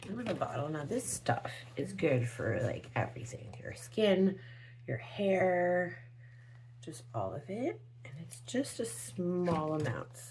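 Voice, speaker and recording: In a room with audible echo, a woman whispers at a very slow pace with big swings in loudness. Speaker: beauty product reviewer. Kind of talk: product demo vlog. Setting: at home early morning. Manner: whispering.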